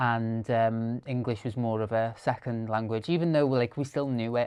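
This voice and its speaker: With a Welsh accent, a man of medium pitch talks at a moderate pace with fairly even intonation. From rural Wales. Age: 30s. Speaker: content creator and storyteller. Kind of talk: podcast interview. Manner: halting, many fillers.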